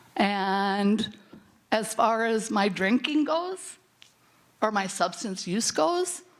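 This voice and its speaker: A woman with an American accent speaks at a fairly high pitch with very even loudness and long, frequent pauses, with audible room echo around her. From US Midwest, rural North Dakota. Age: 70s. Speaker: birth mother and foster mother, conference panelist. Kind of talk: personal testimony at a conference panel. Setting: conference symposium.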